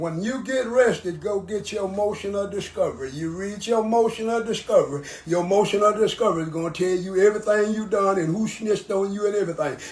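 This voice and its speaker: The speaker has an American accent and a fairly quick pace with hardly any pauses. Pitch variation is ordinary, and background noise is noticeable. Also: man. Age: 70s. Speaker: former prisoner. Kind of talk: interview.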